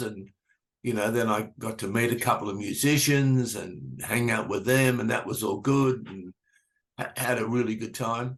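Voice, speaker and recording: A man speaks at a fairly slow pace with an Australian accent. His pitch is medium. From Australia, Sydney. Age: 70s. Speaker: music manager and promoter. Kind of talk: interview.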